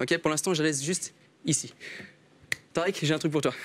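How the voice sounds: Talking at a very fast pace, a man speaks with a high pitch and ordinary pitch variation.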